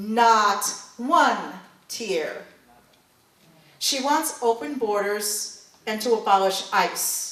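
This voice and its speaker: Noticeable background noise sits behind a voice with a New York accent. The pace is very slow, with long, frequent pauses and ordinary pitch variation. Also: woman, fairly high pitch for a woman. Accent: New York City. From East Bronx, New York. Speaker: congressional candidate. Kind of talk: campaign speech.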